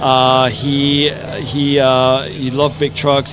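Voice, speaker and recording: Music plays in the background as a man speaks with monotone, flat intonation. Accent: German. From East Germany. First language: German. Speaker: brewery representative. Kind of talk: casual interview. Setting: outdoor festival.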